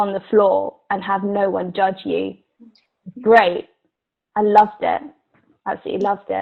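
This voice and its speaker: With an English accent, a woman speaks at a moderate pace and a medium pitch. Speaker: actor. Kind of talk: casual chat.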